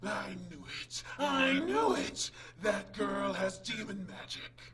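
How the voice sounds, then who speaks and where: A put-on character voice at middle pitch and a very slow pace, with clear background noise. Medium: solo performance. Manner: excited, gloating.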